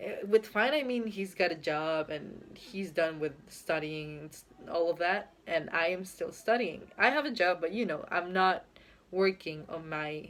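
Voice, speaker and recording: Speaking at a fairly slow pace with a Spanish accent, a woman uses lively intonation and a fairly low pitch, her loudness swinging widely. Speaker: YouTuber. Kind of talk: casual vlog monologue. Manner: hesitant, with fillers.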